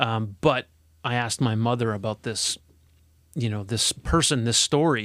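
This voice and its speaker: A plain, everyday voice: a man of medium pitch with a Canadian accent, moderate pace, and a very clean recording over a silent background. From Alberta, Canada. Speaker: corporate HR executive. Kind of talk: casual interview. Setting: studio.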